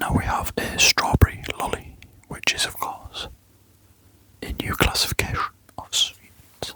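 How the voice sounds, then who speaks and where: Someone whispers in a calm tone with long, frequent pauses over noticeable background noise. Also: fairly slow pace. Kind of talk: ASMR whispered sorting narration. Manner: soft-spoken, whispering, calm.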